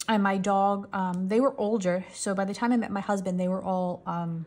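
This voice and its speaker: A woman's relaxed, somewhat breathy voice in a New York accent, on a very clean recording with a silent background. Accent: New York area American. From New York tri-state area, US. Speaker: coloring channel creator. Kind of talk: casual chat while coloring, storytelling. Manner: relaxed, chatty, long-winded.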